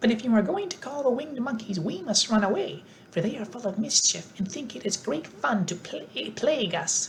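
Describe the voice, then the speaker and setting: This is a put-on character voice with a squeaky sound. It moves at a fairly quick pace. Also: female-sounding voice, fairly high pitch for a woman. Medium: read story.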